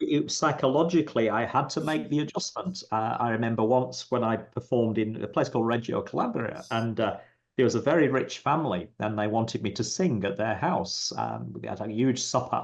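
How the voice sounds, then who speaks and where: The speaker's pitch moves in an ordinary way, with vocal fry. Delivery is fairly quick, with hardly any pauses. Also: man, medium pitch for a man. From England. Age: 60s. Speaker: psychic medium. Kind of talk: interview. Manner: halting, many fillers.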